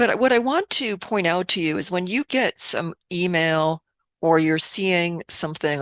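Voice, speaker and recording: A woman with a fairly low pitch talks fairly slowly with lively intonation, in a very clean recording with a silent background and a dry, close sound with no echo. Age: 60s. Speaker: video blogger. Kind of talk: casual talk to camera. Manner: halting, with many fillers.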